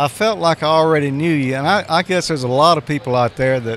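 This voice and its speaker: With a Southern US accent, a man talks at a moderate pace in a fairly high pitch with ordinary pitch variation over noticeable background noise. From Mississippi. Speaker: ham radio show co-host. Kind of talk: casual interview. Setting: convention floor.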